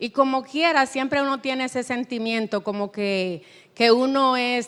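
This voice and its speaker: Speaking slowly, a woman with a Spanish accent uses a high pitch with ordinary variation on a very clean recording with a silent background. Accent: noticeable Spanish accent in English. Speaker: writer. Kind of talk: panel discussion. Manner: halting.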